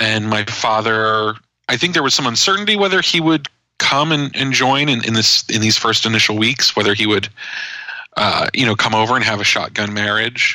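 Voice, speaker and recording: With an American accent, a man in a normal speaking voice talks at a moderate pace and medium pitch, with ordinary pitch variation and very even loudness. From New Jersey, US. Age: 30s. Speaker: journalist and author. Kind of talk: interview conversation. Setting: podcast interview.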